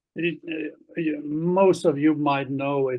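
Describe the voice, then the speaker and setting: A man's fairly high, monotone, flat voice at a very slow pace. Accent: German. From Germany. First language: German. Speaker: Gestalt practitioner. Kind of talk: online conference lecture.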